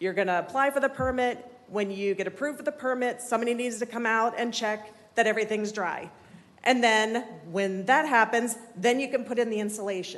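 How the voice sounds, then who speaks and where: With a shaky, fairly high voice, a woman speaks at a fairly quick pace. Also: ordinary pitch variation. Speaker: resident speaking at public comment. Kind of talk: public comment at city meeting. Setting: city commission meeting room. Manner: shaky, nervous voice.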